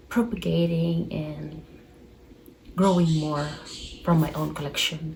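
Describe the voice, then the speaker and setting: A woman with a Filipino accent at a very slow pace, amid audible room echo and noticeable background noise. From Philippines. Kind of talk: casual chat. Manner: rambling.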